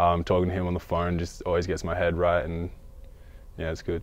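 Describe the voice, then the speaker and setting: A man speaks in a monotone, flat delivery with an Australian accent and a very deep, low pitch. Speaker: college basketball player. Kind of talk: interview.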